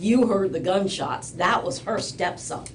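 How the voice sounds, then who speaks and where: With a New York accent, a woman talks at a fairly slow pace and ordinary pitch variation, while noticeable background noise and audible room echo fill the recording. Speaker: party in a court case. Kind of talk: courtroom testimony and cross-examination. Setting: courtroom.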